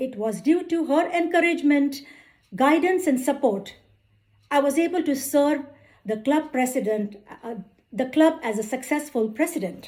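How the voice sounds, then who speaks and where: In an Indian accent, a woman with a high pitch uses lively intonation at a moderate pace, leaving long, frequent pauses. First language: Indian language, not English. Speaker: accountant and club speaker. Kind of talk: prepared speech. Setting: club meeting with audience. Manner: formal.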